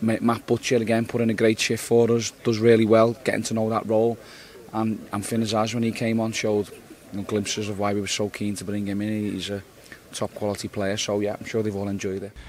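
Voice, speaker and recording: The voice runs at a fairly quick pace with monotone, flat intonation over noticeable background noise. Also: man, fairly low pitch for a man. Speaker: football manager. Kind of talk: post-match interview.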